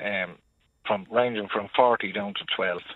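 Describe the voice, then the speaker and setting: A man with an Irish accent at a fairly slow pace. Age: 50s. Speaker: international truck driver. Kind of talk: radio phone-in.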